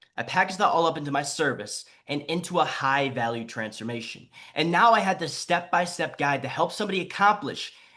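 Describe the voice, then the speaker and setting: The tone is animated. Pitch swings are very wide. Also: man. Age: 20s. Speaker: online fitness coach. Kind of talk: live webinar training. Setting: live online stream. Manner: fast.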